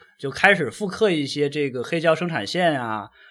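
The speaker is a man. His pitch is fairly high. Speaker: podcast host. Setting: shared mic with others.

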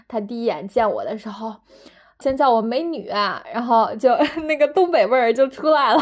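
A high-pitched woman with a slight Northeast Chinese accent, animated in tone, with lively intonation at a moderate pace. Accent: slight northeastern-sounding Mandarin. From northern China. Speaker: podcaster. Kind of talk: casual solo monologue. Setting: at home.

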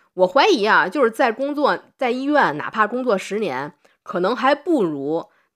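A woman with a northern Chinese accent, fairly high-pitched and animated, at a moderate pace with very wide pitch swings. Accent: noticeable northern Chinese. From Tianjin, China. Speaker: doctor and podcast host. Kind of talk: casual interview conversation.

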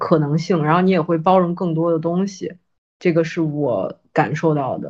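A woman with a normal speaking voice, fairly low-pitched, with lively intonation at a fairly slow pace over a quiet background. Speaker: podcast guest co-host. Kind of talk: casual chat.

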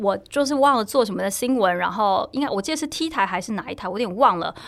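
A woman's very fast speech with lively intonation. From Taiwan. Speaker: journalist and sports blogger. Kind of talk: casual chat.

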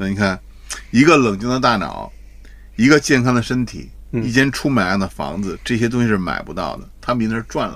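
A man speaks at a medium pitch with ordinary pitch variation and big swings in loudness, in a normal speaking voice. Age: middle-aged. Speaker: retired advertising executive. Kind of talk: casual chat.

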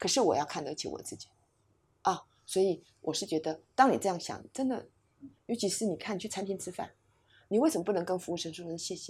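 A woman speaks at a medium pitch and a fairly quick pace, somewhat breathy, with lively intonation and big swings in loudness. Her long, frequent pauses sit on a very clean recording with a silent background. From Taiwan. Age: 60s. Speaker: psychologist and educator. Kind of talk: interview conversation.

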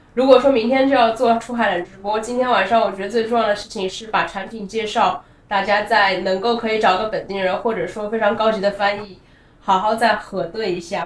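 Noticeable background noise accompanies a woman's voice. She moves at a fairly quick pace with fairly even intonation. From China. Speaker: company co-founder, former finance professional. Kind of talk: casual interview. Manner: halting, many filler sounds.

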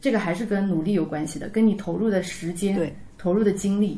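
Her voice plain, a woman delivers fairly even intonation at a fairly quick pace in a plain, everyday voice. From Taizhou, Zhejiang. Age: 30s. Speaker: amateur Yue opera singer. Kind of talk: casual chat.

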